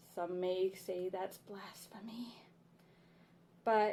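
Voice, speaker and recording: A woman speaks in a monotone, flat way with a dark, mellow tone. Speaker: witchcraft book reviewer. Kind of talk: book review. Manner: casual, friendly.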